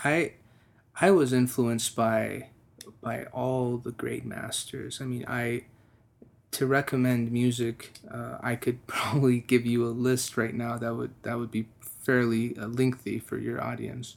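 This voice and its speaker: An American-accented man speaks at a fairly slow pace with a medium pitch and monotone, flat intonation. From Texas. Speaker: musician. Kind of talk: interview. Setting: studio.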